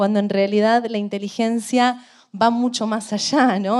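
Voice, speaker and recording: Speaking at a fairly slow pace, a woman has a medium pitch. Her intonation is fairly even. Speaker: art historian, interviewer. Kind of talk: interview introduction. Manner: hesitant, many fillers.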